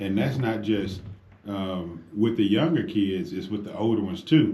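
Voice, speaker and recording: The tone is dark and mellow, somewhat breathy. Audible room echo surrounds the voice. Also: man. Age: 50s. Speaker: radio host. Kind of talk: talk radio discussion. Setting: radio studio. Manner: animated.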